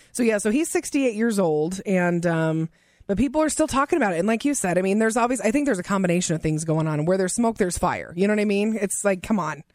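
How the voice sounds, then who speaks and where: A woman with an American accent at a medium pitch, very fast with hardly any pauses, very even in loudness, with lively intonation and an animated tone. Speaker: radio co-host. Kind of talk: radio DJ patter: lively co-host banter and celebrity gossip. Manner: animated, excitable, conversational.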